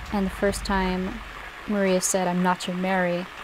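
Over noticeable background noise, a woman speaks at a fairly slow pace with a medium pitch and monotone, flat intonation. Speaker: gaming video creator. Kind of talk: let's play commentary. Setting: home recording at night, lights off. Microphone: new microphone, better audio.

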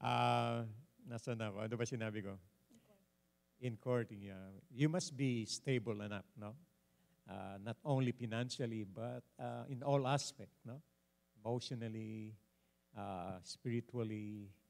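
With a Filipino accent, a man speaks at a fairly slow pace with ordinary pitch variation and long, frequent pauses. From Philippines. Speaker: pastor and panelist; pastor, panelist. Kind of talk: panel discussion. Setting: church. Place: church. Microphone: handheld.

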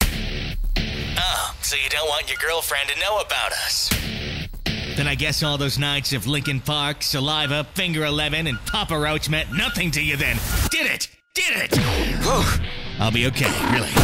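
Music plays in the background as a man speaks at a fairly slow pace with very even loudness. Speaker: radio imaging voice. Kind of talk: radio station imaging.

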